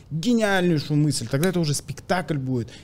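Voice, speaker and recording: A man is speaking with a fairly high pitch. His pitch variation is ordinary. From Kazakhstan. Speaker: comedian; podcast guest. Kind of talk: casual chat. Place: studio. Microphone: studio mic.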